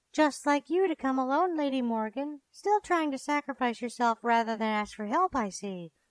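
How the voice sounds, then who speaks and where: A put-on character voice with a high pitch moves at a moderate pace. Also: quiet background. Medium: read story. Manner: formal, no contractions.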